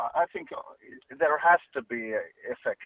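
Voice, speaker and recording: A man is speaking. He has a Finnish accent. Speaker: singer in a rock band. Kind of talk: interview. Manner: halting.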